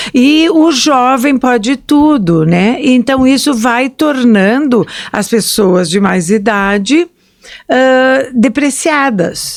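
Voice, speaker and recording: A high-pitched woman, very slow, lively in intonation, at very even loudness. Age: 60s. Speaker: historian and podcast host. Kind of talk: casual chat.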